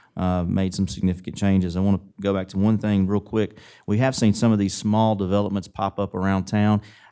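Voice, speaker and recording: Recorded very cleanly against a silent background, a man with a fairly low pitch and a dark, mellow tone talks at a fairly quick pace in a flat monotone, with very even loudness and hardly any pauses. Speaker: city commissioner candidate. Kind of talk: candidate debate answers. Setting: public forum. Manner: fast.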